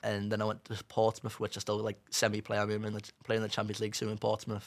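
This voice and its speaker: With a Cumbrian accent, a man talks at a fairly quick pace in a monotone, flat intonation and a fairly low pitch, on a very clean recording with a silent background. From northern England, Carlisle. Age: young. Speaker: amputee footballer, goalkeeper. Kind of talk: casual chat. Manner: halting.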